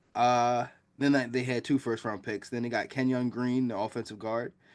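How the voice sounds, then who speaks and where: A man with a normal speaking voice and medium pitch, at a moderate pace against a quiet background. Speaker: football podcast host. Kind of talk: casual chat.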